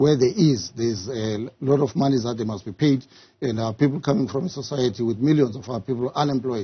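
The background is quiet, and the voice sounds somewhat breathy. Delivery is fairly quick, with ordinary pitch variation. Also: man. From South Africa. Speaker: political party official; interviewee. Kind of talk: tv news interview. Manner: halting, repeats words. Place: studio.

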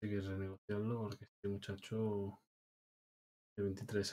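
A man speaks with a dark, mellow tone at a fairly low pitch. His intonation is monotone and flat. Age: 30s. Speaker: video game streamer. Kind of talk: live gameplay commentary. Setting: live stream. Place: home room.

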